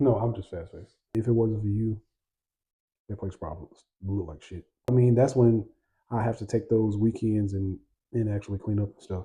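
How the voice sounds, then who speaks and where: A man talks at a fairly quick pace with a fairly low pitch, a dark, mellow tone and a somewhat breathy quality, his intonation fairly even. His loudness swings a lot, long pauses come often, and the background is quiet. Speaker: podcast co-host, husband. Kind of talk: casual chat. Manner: clipped, short sentences.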